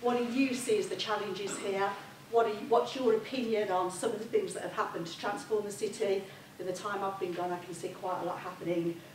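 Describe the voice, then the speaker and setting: A woman with a warm tone and medium pitch speaks at a fairly quick pace with ordinary pitch variation. Audible room echo and noticeable background noise surround her. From Birmingham, England (Shard End). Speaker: review panel member chairing discussion. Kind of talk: public meeting facilitation. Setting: public meeting hall with audience. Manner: warm, informal.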